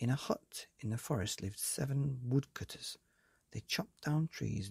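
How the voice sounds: What we hear is a natural reading voice with ordinary pitch variation.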